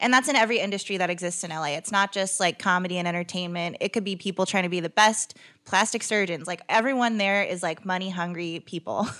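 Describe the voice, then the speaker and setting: A woman with an American accent, very fast and hardly pausing, medium in pitch with ordinary variation and a bright, sharp tone. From Northern California, Stockton. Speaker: stand-up comedian, former political organizer. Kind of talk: casual chat.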